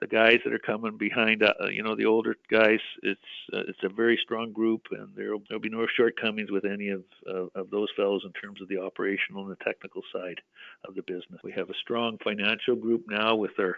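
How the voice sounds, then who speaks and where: With a Canadian accent, a man talks at a fairly quick pace, his loudness swinging a lot. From Western Canada (British Columbia). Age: 60s. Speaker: mining company executive. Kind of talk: interview. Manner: conversational, with frequent fillers and restarts.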